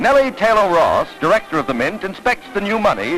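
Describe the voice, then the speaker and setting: Music plays in the background as a man talks at a fairly quick pace. His pitch is high, with very wide swings. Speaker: newsreel narrator. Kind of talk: newsreel narration.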